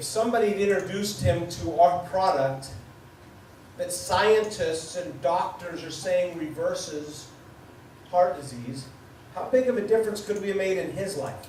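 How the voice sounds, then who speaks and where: A man's high-pitched voice at a moderate pace, with ordinary pitch variation, big swings in loudness, long and frequent pauses, audible room echo and noticeable background noise. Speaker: business speaker. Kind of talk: motivational sales talk. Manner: mumbling.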